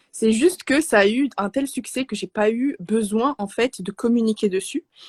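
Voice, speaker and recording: Somewhat breathy and fairly high in pitch, a woman speaks at a moderate pace with ordinary pitch variation, in a dry, close sound with no echo. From Morocco. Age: 20s. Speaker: Arabic teacher and speech therapist. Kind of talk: interview. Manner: soft-spoken; halting, many hesitations.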